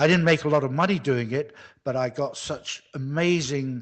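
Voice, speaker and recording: At a moderate pace, a man with a British accent speaks with a fairly high pitch and ordinary pitch variation. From UK. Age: 60s. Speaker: men's coach, retired lighting designer. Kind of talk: interview.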